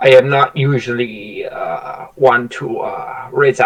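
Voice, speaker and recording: A man puts on a character voice at a medium pitch. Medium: actual play. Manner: slow, solemn.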